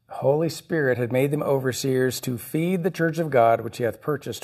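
This man has an ordinary speaking voice at a medium pitch with ordinary pitch variation. He talks at a moderate pace. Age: 50s. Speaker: pastor. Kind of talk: sermon. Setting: church.

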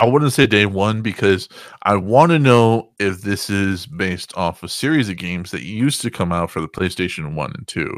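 On a very clean recording with a silent background, a man speaks at a moderate pace in a normal speaking voice. His pitch is fairly low and his intonation lively. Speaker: podcast host guest. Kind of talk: casual chat. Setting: voice chat call.

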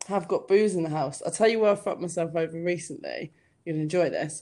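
A woman speaks in a southern English accent. Her tone is dark and mellow. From southern England (Hampshire, near Southampton). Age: 30s. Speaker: comedian. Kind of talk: casual chat. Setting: call.

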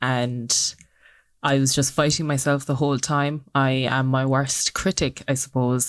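A woman speaks with a Cork accent at a fairly slow pace. Her very deep, low voice stays monotone and flat. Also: very clean recording, silent background. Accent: Irish (Cork). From Ireland, Cork. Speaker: social entrepreneur. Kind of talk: interview.

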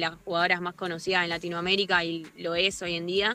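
Speaking at a fairly quick pace, a woman talks in a medium pitch. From Argentina, Rosario. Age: 20s. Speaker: footballer. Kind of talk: interview. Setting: remote call from outdoors.

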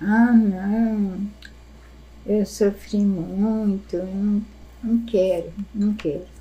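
At a very slow pace with long, frequent pauses, a woman speaks in a medium pitch with a dark, mellow, somewhat breathy tone and monotone, flat intonation. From interior of São Paulo state, Brazil (Sertãozinho, near Ribeirão Preto). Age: 70s. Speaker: grandmother sharing life memories. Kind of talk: casual family chat. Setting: informal home recording.

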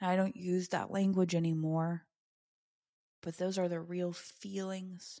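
On a very clean recording with a silent background, a woman speaks in a flat monotone at a fairly low pitch. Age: 30s. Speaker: podcast host, PhD coach. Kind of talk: personal testimony. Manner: casual, chatty.

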